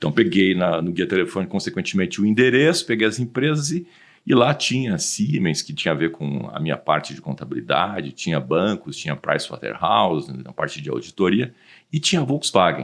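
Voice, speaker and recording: A man with a fairly low pitch and very wide pitch swings. His voice carries vocal fry. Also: fairly quick pace, big swings in loudness. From southern Brazil, Rio Grande do Sul (Porto Alegre). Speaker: automotive industry consultant. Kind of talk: podcast interview.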